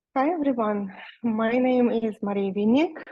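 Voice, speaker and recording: A woman with a Russian accent, fairly high pitch and ordinary pitch variation, at a fairly slow pace. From Russia, Nizhny Novgorod. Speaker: e-commerce seller. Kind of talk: webinar presentation. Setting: video call webinar. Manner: halting, many fillers.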